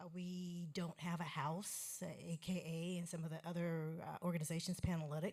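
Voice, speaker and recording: Speaking at a moderate pace with hardly any pauses, a woman with a fairly low pitch sounds somewhat breathy and flat, almost monotone. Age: 60s. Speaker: sorority alumna. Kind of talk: audience comment. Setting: stage with audience.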